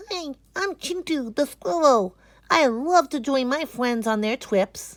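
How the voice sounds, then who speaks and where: A female-sounding voice puts on a character voice with a high pitch. She delivers it at a fairly slow pace. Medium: read story. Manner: chirpy.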